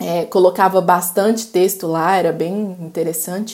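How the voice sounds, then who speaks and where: At a fairly slow pace, a woman speaks in a normal speaking voice. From Belo Horizonte, Minas Gerais, Brazil. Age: 20s. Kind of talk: casual interview chat. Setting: recorded at home.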